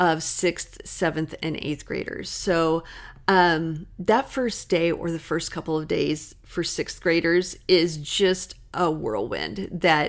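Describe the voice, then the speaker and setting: A woman with an American accent speaks at a fairly low pitch with vocal fry. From US Midwest. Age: 50s. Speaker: school counselor. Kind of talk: podcast monologue. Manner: upbeat, cheerful.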